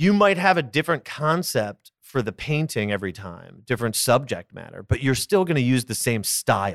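A man with an American accent speaks at medium pitch with very wide pitch swings and big swings in loudness. He leaves hardly any pauses. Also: very clean recording, silent background. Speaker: actor and snack business founder. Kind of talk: casual interview chat. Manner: fast, talkative.

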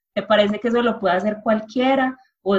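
Somewhat breathy, a woman speaks fairly quickly at a medium pitch with ordinary pitch variation. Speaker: journalist. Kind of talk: interview.

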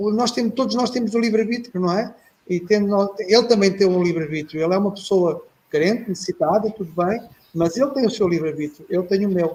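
Dark and mellow in tone, the voice races along at a very fast pace with ordinary pitch variation. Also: man, high pitch for a man. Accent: European Portuguese. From Portugal. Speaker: retired air force officer, panelist. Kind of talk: casual discussion. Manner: halting.

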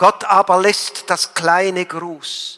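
This man speaks at a very slow pace. His pitch is high. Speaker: priest. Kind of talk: sermon. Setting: church. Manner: formal; earnest.

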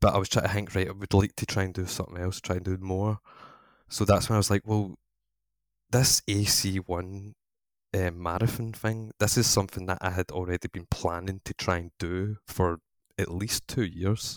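A man's very deep, low voice in a Scottish accent, monotone and flat at a moderate pace, dry and close with no echo, on a very clean recording with a silent background. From Scotland. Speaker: online gaming community organiser. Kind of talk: casual chat.

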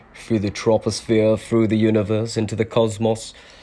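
With a Scottish accent and a dark, mellow tone, a man talks at a very fast pace. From Scotland. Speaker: podcaster and live streamer. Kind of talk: casual monologue. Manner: halting.

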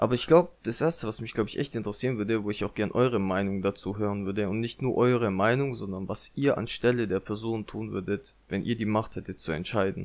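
Racing along at a very fast pace with hardly any pauses, a man of fairly low pitch speaks with ordinary pitch variation. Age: 20s. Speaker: podcaster. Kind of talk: casual monologue. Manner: unscripted, hesitant with fillers.

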